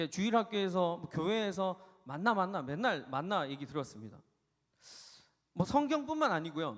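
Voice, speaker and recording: A man speaks at a high pitch and a moderate pace. His pitch swings very widely, and his pauses are long and frequent. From South Korea, Gyeongsang region. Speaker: youth pastor. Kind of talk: sermon.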